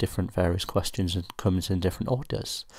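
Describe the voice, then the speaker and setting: Quiet and very deep-pitched, a man with a British accent talks at a fairly quick pace with ordinary pitch variation on a very clean recording with a silent background. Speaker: student pilot, app reviewer. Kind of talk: tutorial. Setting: at home at night, housemates asleep. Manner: quiet, speaking low; hesitant, many fillers.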